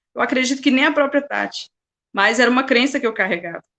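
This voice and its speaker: This is a woman's voice. Its tone is bright and sharp. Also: dry, close sound with no echo. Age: 40s. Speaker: motivational speaker. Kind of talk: testimony.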